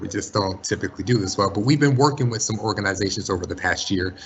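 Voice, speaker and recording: A man's fairly low, somewhat breathy voice at a very fast pace, with ordinary pitch variation. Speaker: school college and career counselor. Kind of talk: webinar presentation.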